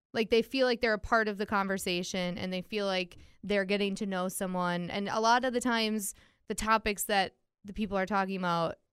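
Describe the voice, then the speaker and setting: Woman with an ordinary speaking voice, medium pitch, fairly even intonation, fairly quick pace, dry, close sound with no echo, very clean recording and silent background. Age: 30s. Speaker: podcast host. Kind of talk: casual chat.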